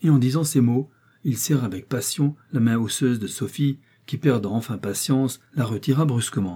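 An unforced reading voice with pitch that shifts in an ordinary way

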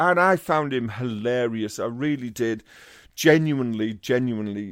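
Over a quiet background, a man with a Teesside accent talks at a moderate pace, at a medium pitch and with ordinary pitch variation. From Teesside, northern England. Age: 50s. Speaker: comedian. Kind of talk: casual chat.

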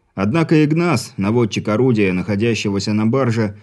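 The reading aloud is plain, yet the intonation stays lively.

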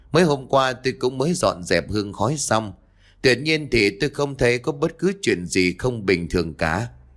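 Someone reads out loud with an unforced voice. Lively intonation marks the delivery.

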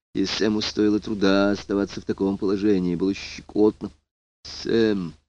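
Against a quiet background, someone reads in an unforced voice.

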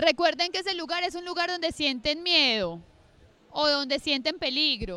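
A woman speaks at a fairly slow pace with a high pitch. Her tone is bright and sharp, and her intonation is lively.

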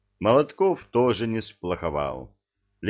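With a quiet background behind it, a natural voice reads aloud.

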